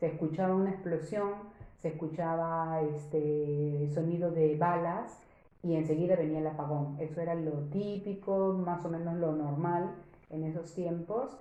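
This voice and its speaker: There is audible room echo as a woman speaks at a fairly slow pace. Her pitch is fairly low and her intonation fairly even. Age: 60s. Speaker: interviewee. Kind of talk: interview testimony. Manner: hesitant.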